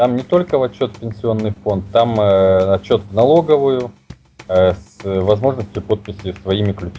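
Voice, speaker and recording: This man's fairly low voice moves at a moderate pace with ordinary pitch variation. His loudness swings widely, and background noise is noticeable. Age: 30s. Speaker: Linux company representative. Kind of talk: interview.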